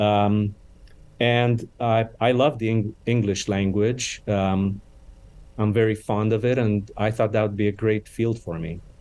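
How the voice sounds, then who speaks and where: A man with a Romanian accent speaks fairly slowly in a flat, monotone way. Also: fairly low pitch for a man. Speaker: charity CEO. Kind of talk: interview. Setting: podcast interview.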